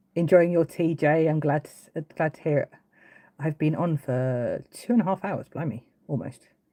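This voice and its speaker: Speaking in an English accent, a woman with a very deep, low pitch moves at a moderate pace with ordinary pitch variation, the sound dry and close with no echo. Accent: English accent, noticeable. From England, Brighton, East Sussex. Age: 40s. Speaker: woodcarving livestreamer. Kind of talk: casual livestream chat. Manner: hesitant, many fillers and restarts.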